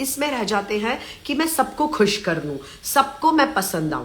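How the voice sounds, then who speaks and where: Amid audible room echo, a woman with a high pitch speaks in an animated tone. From Maharashtra, India. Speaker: life coach, live-stream host. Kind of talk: live Q&A session. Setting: live stream. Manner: animated, motivational.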